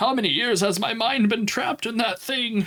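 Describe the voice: In a put-on character voice, a man talks at an extremely high pitch and a moderate pace over light background noise.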